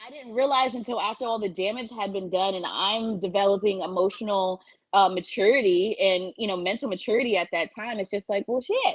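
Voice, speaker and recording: A woman speaks at a fairly quick pace with hardly any pauses, her medium pitch moving with ordinary variation in a normal speaking voice. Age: 30s. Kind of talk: casual chat.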